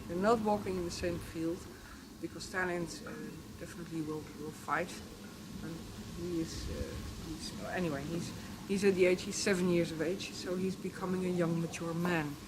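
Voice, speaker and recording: Amid audible room echo and noticeable background noise, a woman speaks at a fairly low pitch and moderate pace, flat and monotone, with long, frequent pauses. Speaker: horse trainer. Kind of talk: informal instructional talk. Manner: halting, searching for words.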